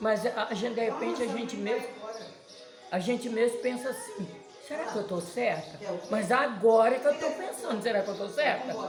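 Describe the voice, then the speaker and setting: A woman with a fairly high pitch speaks at a moderate pace with ordinary pitch variation, amid audible room echo and noticeable background noise. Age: 70s. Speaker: grandmother interviewed on her birthday. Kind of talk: casual chat.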